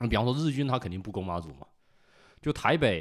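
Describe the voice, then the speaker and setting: In a very clean recording with a silent background, a man talks with a northeastern Chinese accent. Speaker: culture enthusiast guest. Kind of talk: casual chat.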